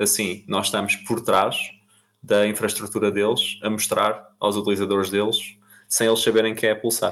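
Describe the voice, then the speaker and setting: A man speaks at a moderate pace against a quiet background. His intonation stays monotone and flat. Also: fairly low pitch for a man, very even loudness. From Portugal, Almada. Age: 20s. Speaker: crypto startup founder. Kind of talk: podcast interview.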